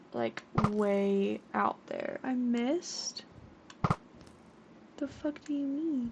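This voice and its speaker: With noticeable background noise, a woman talks at a very slow pace in a high voice, with ordinary pitch variation and long, frequent pauses. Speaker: gaming streamer. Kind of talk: live gameplay commentary. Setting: live stream.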